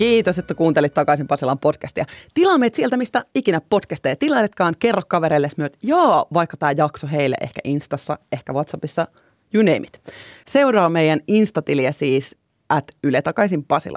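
In a very clean recording with a silent background and a dry, close sound with no echo, a woman with a fairly low pitch uses a normal speaking voice, lively intonation and a moderate pace. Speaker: podcast host. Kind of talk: casual chat; scripted narration.

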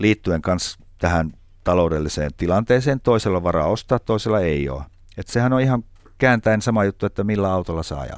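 A man's plain, everyday voice, fairly low in pitch with lively intonation. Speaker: chef. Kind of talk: casual chat.

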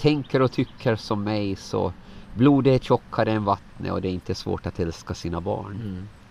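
Here is a man with a plain, everyday voice. He keeps a moderate pace and ordinary pitch variation. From Åland. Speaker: lay preacher. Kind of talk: interview.

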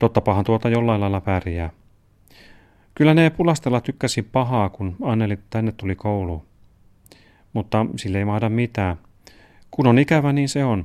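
At a moderate pace and medium pitch, a man speaks with lively intonation and long, frequent pauses, in a very clean, dry, close recording with a silent background and no echo. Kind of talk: literary letter reading, father's letter read aloud as a man.

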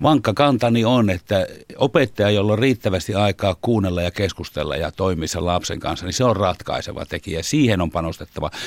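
A man talks at a fairly quick pace with hardly any pauses, in an unremarkable speaking voice. His pitch is fairly low, and the sound is dry and close with no echo. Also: ordinary pitch variation. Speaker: teachers' union chairman. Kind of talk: studio interview. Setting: studio.

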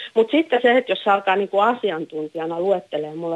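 Intonation stays lively while the words come out very fast. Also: woman. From Finland, Häme. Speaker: caller. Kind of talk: phone-in discussion.

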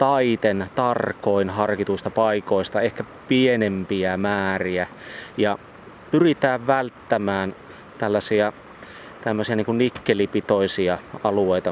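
The speech moves at a very slow pace with fairly even intonation. Noticeable background noise is present. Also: man. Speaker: regional environmental expert. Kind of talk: interview. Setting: outdoors by flowing water.

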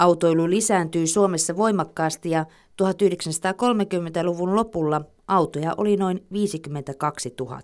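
On a very clean recording with a silent background, a woman speaks at a very slow pace in a fairly low pitch. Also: ordinary pitch variation. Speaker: narrator. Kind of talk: scripted narration.

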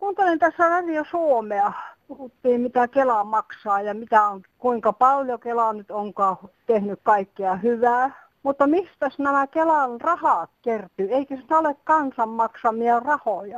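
Very slow speech with lively intonation is captured in a dry, close sound with no echo. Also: woman, high pitch for a woman, quiet background. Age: 50s+. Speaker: caller. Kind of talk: phone-in call.

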